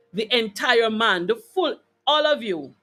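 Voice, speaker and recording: Music plays behind a woman whose fairly high voice moves through very wide pitch swings. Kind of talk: casual live talk to camera, addressing an audience.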